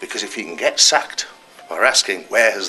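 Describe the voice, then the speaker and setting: Fairly quick speech from a man with a North East England accent. Noticeable background noise runs underneath. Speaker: political activist speaker. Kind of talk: speech at political meeting.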